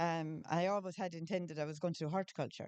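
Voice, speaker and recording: A woman with a Tipperary accent, fairly low in pitch, fairly quick, with ordinary pitch variation. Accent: Irish, Tipperary. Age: 60s. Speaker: florist. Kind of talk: casual chat. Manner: halting.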